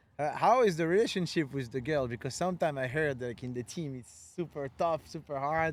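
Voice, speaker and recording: Speaking with a French accent, a man uses a fairly high pitch, ordinary pitch variation and a moderate pace. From France. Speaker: podcast host and freestyle footballer. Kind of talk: casual chat.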